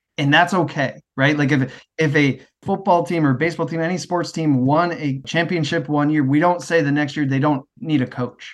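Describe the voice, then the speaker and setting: Here a man with a Midwestern American accent talks at a moderate pace, hardly pausing. His pitch is fairly high and his intonation fairly even. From US Midwest. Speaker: education network manager. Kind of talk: casual interview conversation.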